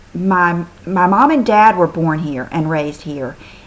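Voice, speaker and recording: A woman's medium-pitched, drawling voice with a Southern US accent, very slow pace and lively intonation. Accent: old Southern American. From American South. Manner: Southern drawl with stress on first syllables.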